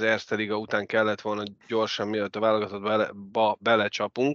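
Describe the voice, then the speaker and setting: A normal speaking voice from a man, medium in pitch and fairly quick, with a dry, close sound with no echo and a quiet background. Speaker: ice hockey podcast host. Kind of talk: casual sports chat.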